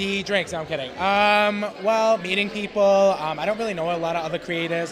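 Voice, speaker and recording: A man with a New York accent at a very fast pace, ordinary pitch variation, noticeable background noise. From Brooklyn, New York. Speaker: content creator. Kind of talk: casual chat. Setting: live event.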